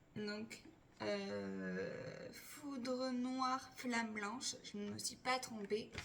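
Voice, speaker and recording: A woman speaks very slowly, her voice carrying audible room echo. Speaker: Pokémon card collector YouTuber. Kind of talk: unboxing video chat. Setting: at home.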